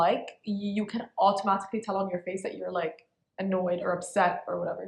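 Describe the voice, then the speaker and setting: A woman talks at a fairly quick pace. Her medium-pitched voice is somewhat breathy. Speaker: podcast co-host. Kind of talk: casual chat. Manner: animated.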